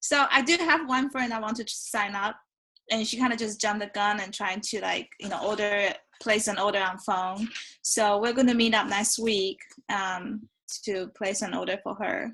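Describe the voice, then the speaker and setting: At a moderate pace, a woman's voice sits fairly high in pitch with a bright, sharp tone and ordinary pitch variation. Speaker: new team member. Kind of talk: casual team meeting call. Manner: soft-spoken.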